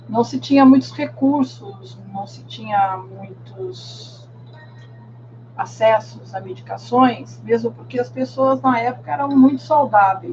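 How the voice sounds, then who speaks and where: There is music in the background. A woman speaks at a very slow pace. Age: 60s. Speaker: meditation and tai chi teacher. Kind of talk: podcast monologue.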